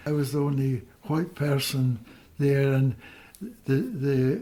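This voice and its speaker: A somewhat breathy voice with a dark, mellow tone, at a fairly slow pace. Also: man. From Scotland. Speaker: retired doctor. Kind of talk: interview. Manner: halting.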